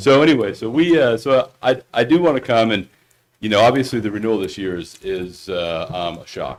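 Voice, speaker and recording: Loud and fairly quick, a man talks at a medium pitch with very wide pitch swings. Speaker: insurance broker. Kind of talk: presentation at board meeting. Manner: hesitant, many fillers.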